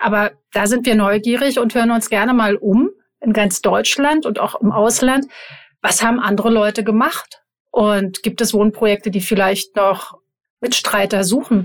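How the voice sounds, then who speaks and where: A woman's plain, everyday voice, fairly high in pitch, at a moderate pace with very even loudness and fairly even intonation. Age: 50s. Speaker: podcast co-host, advertising agency owner. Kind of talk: casual chat.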